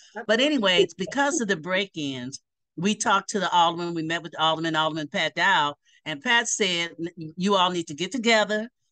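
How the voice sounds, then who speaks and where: Over a quiet background, a woman with a fairly low voice talks fairly quickly, her intonation lively. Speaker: remote interview guest. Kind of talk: interview answer. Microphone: video call.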